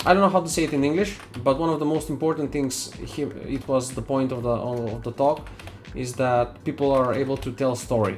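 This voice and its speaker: Over noticeable background noise, a man with a non-native accent speaks at a fairly quick pace, his medium-pitched voice showing ordinary pitch variation. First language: not English. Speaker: 3D artist streamer. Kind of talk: live stream chat while working. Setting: live stream. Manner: halting.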